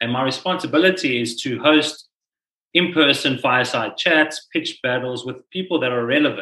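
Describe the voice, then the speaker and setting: A man with a fairly high pitch and a bright, sharp tone speaks at a moderate pace with ordinary pitch variation. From South Africa. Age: 30s. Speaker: entrepreneur. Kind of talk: casual interview.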